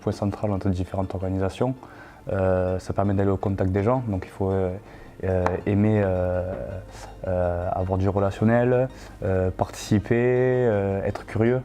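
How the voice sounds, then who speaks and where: Speaking at a fairly slow pace, a man with a fairly low pitch keeps his intonation fairly even. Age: 20s. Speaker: sports stadium manager. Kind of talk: interview. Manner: hesitant, many filler sounds.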